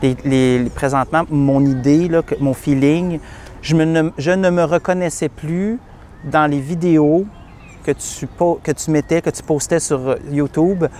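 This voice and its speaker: Speaking at a very slow pace, a man keeps his intonation fairly even. His pitch is fairly high. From Quebec. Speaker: client of a matchmaking agency giving a testimonial. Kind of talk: testimony. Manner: halting, many repetitions.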